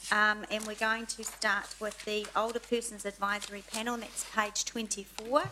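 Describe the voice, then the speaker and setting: A fairly high-pitched woman with a New Zealand accent, against noticeable background noise. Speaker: committee chair. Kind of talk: council meeting.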